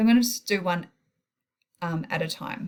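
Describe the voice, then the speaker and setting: A somewhat breathy woman at a fairly quick pace. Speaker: maths teacher. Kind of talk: tutorial.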